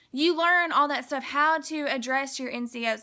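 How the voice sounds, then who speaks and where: A raised, projected voice with a bright, sharp tone, a fairly quick pace and ordinary pitch variation. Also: woman. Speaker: army recruit vlogger. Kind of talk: casual vlog explanation. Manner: casual, filler-heavy; stuttering today.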